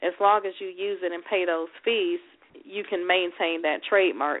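Speaking at a medium pitch, this woman keeps a moderate speed. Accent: Southern US. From Houston, Texas. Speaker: attorney. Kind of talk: radio interview. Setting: phone call.

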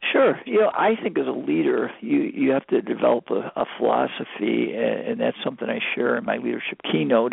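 The voice belongs to a man who talks at a moderate tempo. Noise in the background can be clearly heard. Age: 50s. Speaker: retired basketball coach and speaker. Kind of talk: radio interview.

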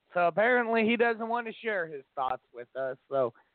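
The intonation is lively and the pace fairly quick, with a dry, close sound and no echo. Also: man, high pitch for a man.

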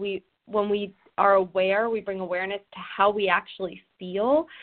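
A plain, everyday voice from a woman with an American accent, medium pitch, ordinary pitch variation and a fairly slow pace. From New Jersey. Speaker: personal growth coach. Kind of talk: casual interview chat.

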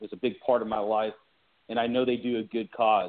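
With an ordinary speaking voice and an American accent, a man speaks at a medium pitch with fairly even intonation. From California. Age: 30s. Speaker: army veteran and shoe company founder. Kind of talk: interview.

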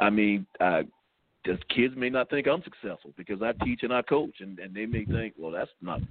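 With a Southern US accent, a man speaks using lively intonation. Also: medium pitch for a man, moderate pace, big swings in loudness. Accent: US South. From South Carolina. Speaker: high school football head coach. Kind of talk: radio interview. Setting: phone call.

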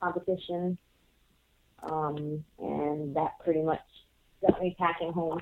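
A woman speaks with a Puerto Rican accent. Her pace is fairly slow. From Puerto Rico. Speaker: professional wrestler. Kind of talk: interview. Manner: hesitant with many fillers.

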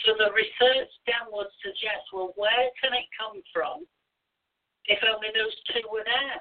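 The speaker uses a British accent, a fairly slow pace and ordinary pitch variation. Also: woman, fairly high pitch for a woman. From Britain. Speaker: spiritualist minister and medium. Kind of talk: interview.

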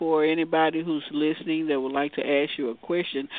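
A woman speaks at a fairly quick pace with a fairly low pitch. Noticeable background noise runs underneath. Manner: warm, encouraging.

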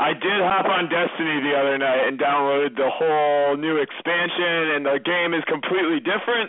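A man at a fairly quick pace and fairly high pitch, with very even loudness over noticeable background noise. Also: ordinary pitch variation, hardly any pauses. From Massachusetts. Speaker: reality TV contestant. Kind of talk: casual interview.

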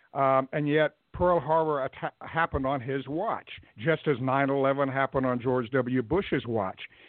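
A man with a normal speaking voice and fairly high pitch talks at a fairly slow pace. His pitch variation is ordinary. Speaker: political consultant and commentator. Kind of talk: interview. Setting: phone call.

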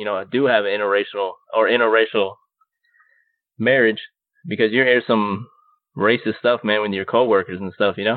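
Pausing often and at length, a man speaks with a fairly low pitch and fairly even intonation. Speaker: podcast co-host. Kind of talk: casual chat. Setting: remote call with co-hosts.

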